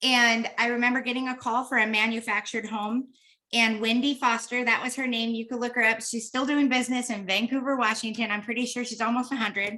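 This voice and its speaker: Very fast and flat, a woman's fairly high voice comes through in a bright, sharp tone with monotone intonation. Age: 50s. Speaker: real estate trainer. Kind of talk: training session. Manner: casual, conversational.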